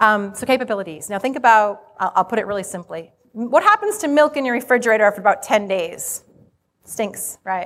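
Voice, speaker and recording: A woman with an American accent speaks at a fairly quick pace, in a normal speaking voice. Her pitch is fairly high, with ordinary variation. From Rhode Island, US. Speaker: HR conference speaker. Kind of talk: conference presentation to live audience. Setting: stage with audience.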